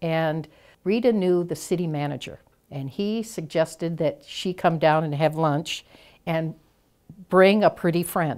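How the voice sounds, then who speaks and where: On a very clean recording with a silent background, a woman speaks at a fairly slow pace in an ordinary speaking voice with a fairly low pitch. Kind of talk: interview answer.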